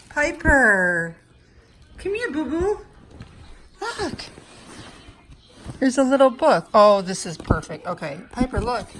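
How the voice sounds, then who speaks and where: Against noticeable background noise, a high-pitched woman speaks at a very slow pace with long, frequent pauses, very wide pitch swings and big swings in loudness. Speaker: reborn doll collector and vlogger. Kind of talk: casual unboxing vlog. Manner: kept quiet, not loud.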